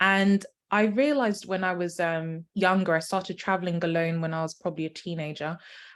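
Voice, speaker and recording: In a very clean recording with a silent background, a woman with a British accent talks fairly quickly at a fairly low pitch. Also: ordinary pitch variation. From United Kingdom. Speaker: medical doctor and wellness travel consultant. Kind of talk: podcast interview. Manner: hesitant with fillers.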